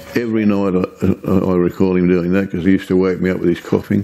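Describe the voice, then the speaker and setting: A man with an Australian accent speaks at a very fast pace in a monotone, flat intonation. His pitch is very deep and low, with noticeable background noise. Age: 80s+. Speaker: retired police officer. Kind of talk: oral history interview. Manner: halting.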